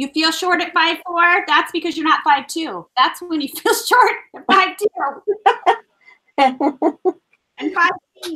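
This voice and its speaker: In a raised, projected voice, a woman with an extremely high pitch and a bright, sharp tone speaks at a fairly slow pace, with long, frequent pauses, very wide pitch swings and big swings in loudness. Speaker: crafter. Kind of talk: casual live-stream craft chat.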